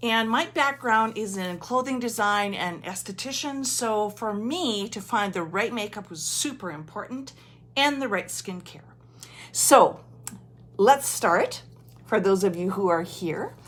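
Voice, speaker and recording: An ordinary speaking voice at a fairly slow pace, lively intonation and big swings in loudness. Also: woman, fairly high pitch for a woman. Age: 60s. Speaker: makeup consultant. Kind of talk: makeup tutorial. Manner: casual, chatty.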